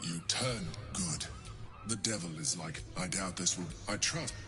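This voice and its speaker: Over loud background noise, someone does a put-on character voice at a moderate pace. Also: man, very deep, low pitch for a man. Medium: video game. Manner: probing, controlling.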